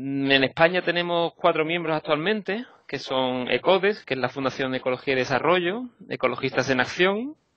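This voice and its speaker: In a Basque accent, a man talks at a moderate pace. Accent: Basque Spanish accent, noticeable. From Basque Country, Spain (Vitoria). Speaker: environmental NGO policy worker. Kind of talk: interview.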